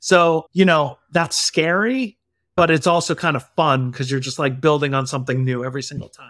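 Over a very clean recording with a silent background, a man with an ordinary speaking voice and a fairly high pitch talks at a moderate pace, with ordinary pitch variation and big swings in loudness. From US Northeast, Connecticut. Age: 40s. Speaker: tech executive and father. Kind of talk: podcast interview.

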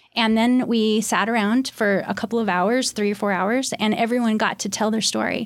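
A woman's monotone, flat delivery at a moderate pace, with hardly any pauses, very even loudness, and a very clean recording with a silent background. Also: fairly high pitch for a woman. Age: 50s. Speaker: art therapist and author. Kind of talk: interview.

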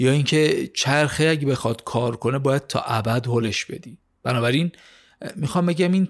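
In a very clean recording with a silent background, a man with a plain, everyday voice speaks fairly slowly at a fairly high pitch with ordinary pitch variation. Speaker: podcast host summarizing business books. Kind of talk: scripted narration of a book summary.

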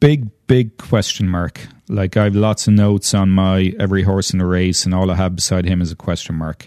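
A man with an Irish accent speaks at a moderate pace with hardly any pauses and fairly even intonation. His voice is very deep and low, with a dark, mellow tone, over a quiet background. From Ireland. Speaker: horse farm owner. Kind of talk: casual chat.

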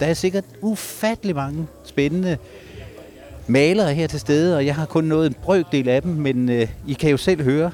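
There is noticeable background noise behind this man's fairly high voice. He speaks at a fairly slow pace with ordinary pitch variation. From Denmark, Ribe (southwest Jutland). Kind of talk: live field reporting with street interviews. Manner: animated.

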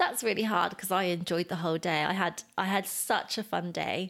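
A woman with a British accent and vocal fry talks at a fairly quick pace. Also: very clean recording, silent background. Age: 30s. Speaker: podcast co-host's partner. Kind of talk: casual chat.

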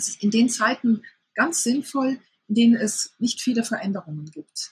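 Pitched fairly high, a woman with a plain, everyday voice speaks with ordinary pitch variation. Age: 50s. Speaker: sex therapist and author. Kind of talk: interview.

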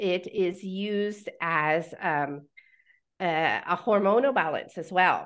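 Talking at a very slow pace, a woman with an American accent uses a medium pitch and ordinary pitch variation. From Pennsylvania, US. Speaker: author and herbalist. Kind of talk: interview. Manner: halting, many fillers.

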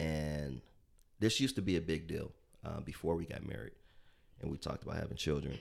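Very deep and low with vocal fry, a man talks at a fairly quick pace with lively intonation and long, frequent pauses. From US Midwest, south side of Chicago. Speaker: entrepreneur. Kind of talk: interview.

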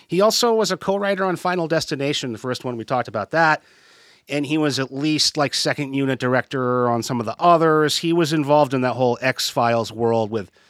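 In an unremarkable speaking voice, a man talks at a fairly quick pace with lively intonation, on a very clean, dry, close recording with a silent background and no echo. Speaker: podcast host. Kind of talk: casual chat.

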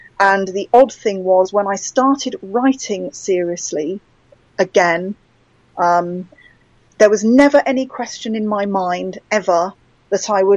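With a British accent, a woman speaks at a fairly slow pace with ordinary pitch variation. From England. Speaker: author. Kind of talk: casual interview conversation.

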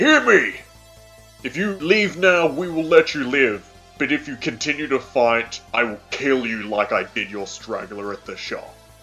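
A booming put-on character voice moves at a moderate pace. Clear music plays in the background. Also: man, fairly high pitch for a man. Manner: commanding, threatening.

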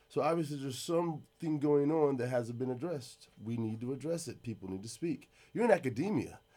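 With music in the background, a man talks at a fairly high pitch and a fairly quick pace, animated, with lively intonation and hardly any pauses. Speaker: skydiving podcast host. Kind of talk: casual interview chat, profane. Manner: casual, profane, animated.

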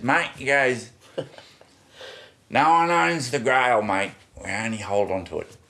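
A man's raspy, put-on character voice at medium pitch, with lively intonation, a fairly slow pace and long, frequent pauses. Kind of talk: casual, Australian-style 'mate'. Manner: wise, measured.

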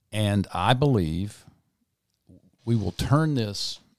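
The recording is very clean with a silent background and a dry, close sound with no echo, as a man speaks at a very slow pace. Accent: Mississippi. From South Mississippi. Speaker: parade founder and event organizer. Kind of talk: casual interview.

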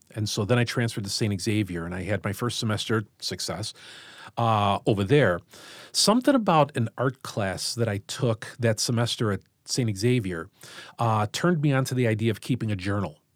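In a Chicago accent, the speaker goes at a moderate pace with ordinary pitch variation, the sound dry and close with no echo on a very clean recording with a silent background. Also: man, medium pitch for a man. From US Midwest, Chicago Southwest side. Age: 50s. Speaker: high school English teacher. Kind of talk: casual interview conversation.

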